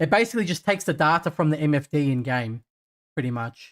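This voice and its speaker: Fairly quick, fairly high-pitched speech from a man. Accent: Australian. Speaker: sim racing streamer. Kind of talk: live gaming stream commentary. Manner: casual, relaxed.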